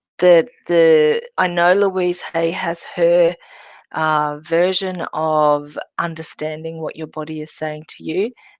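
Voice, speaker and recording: On a very clean recording with a silent background and a dry, close sound with no echo, a woman speaks very slowly in a fairly low pitch with fairly even intonation. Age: 60s. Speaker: medical intuitive, healer. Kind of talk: workshop talk. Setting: workshop with audience. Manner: halting.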